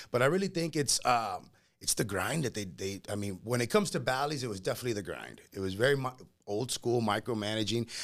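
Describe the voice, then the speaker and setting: A man talks at a very fast pace with lively intonation and medium pitch. The recording is very clean, the background silent. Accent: Spanish. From Laredo, Texas. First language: Spanish. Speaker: homebuilder sales professional. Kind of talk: casual chat interview.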